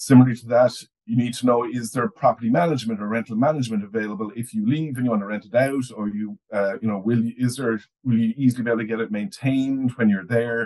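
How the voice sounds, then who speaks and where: A man with an Irish accent talks at a very fast pace with fairly even intonation against a quiet background. His medium-pitched voice has a dark, mellow tone. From Ireland. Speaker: overseas property newsletter editor. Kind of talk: casual conversational podcast chat. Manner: halting, repeats words often. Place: home room. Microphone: video call.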